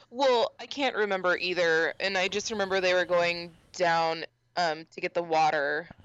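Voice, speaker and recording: The sound is dry and close, with no echo. The speaker keeps a moderate pace. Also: woman, fairly low pitch for a woman, ordinary pitch variation. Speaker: podcast co-host. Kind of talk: casual chat. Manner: laughs a lot.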